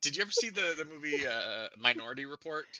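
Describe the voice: The intonation is lively and the pace is fast. Its tone is bright and sharp. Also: man, fairly high pitch for a man.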